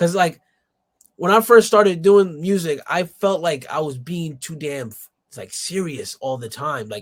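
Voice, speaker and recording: Here a man with an American accent talks at a high pitch, with lively intonation and big swings in loudness. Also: fairly slow pace. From New York City, Dominican family. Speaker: rapper. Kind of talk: casual interview chat. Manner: animated.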